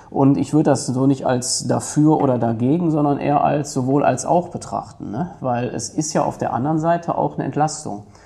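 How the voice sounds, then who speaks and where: A man's fairly high voice at a fairly quick pace with ordinary pitch variation, over noticeable background noise. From Germany, Ruhr area (Duisburg). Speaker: head of a city administration office. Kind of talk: podcast interview.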